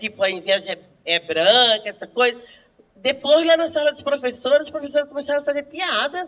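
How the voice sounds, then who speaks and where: A woman speaks in an animated tone. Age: 60s. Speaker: schoolteacher. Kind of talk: group discussion.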